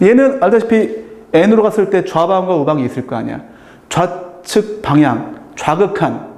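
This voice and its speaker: A man with a high pitch and lively intonation is heard through noticeable background noise and audible room echo. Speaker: math tutor. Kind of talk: lecture. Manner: casual.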